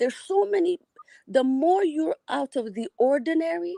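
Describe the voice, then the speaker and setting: In an Ethiopian accent, a woman speaks at a high pitch with very wide pitch swings and a dark, mellow tone, in a dry, close sound with no echo. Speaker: caller to a live show. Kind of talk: casual call-in chat.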